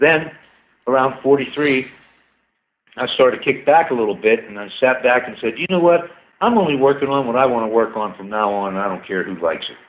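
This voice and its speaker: In a plain, everyday voice, a man speaks fairly quickly at a medium pitch with lively intonation. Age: 60s. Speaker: inventor and scientist. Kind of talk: casual chat. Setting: radio show.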